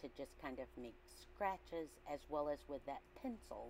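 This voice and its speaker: A woman at a moderate pace, light background noise behind her. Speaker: artist and art teacher. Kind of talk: art tutorial voice-over. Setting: large classroom with air-conditioner hum. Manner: casual, hesitant. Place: classroom.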